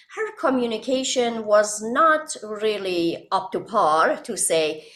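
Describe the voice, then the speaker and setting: A woman with an Iranian accent over noticeable background noise. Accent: Iranian (Persian). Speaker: author and hypnotherapist. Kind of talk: podcast interview. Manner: halting.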